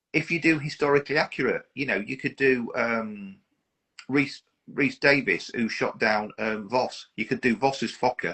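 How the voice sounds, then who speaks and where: With an English accent, this voice keeps to a moderate pace. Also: man, medium pitch for a man, ordinary pitch variation. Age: 50s. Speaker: model aircraft collector. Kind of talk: casual chat.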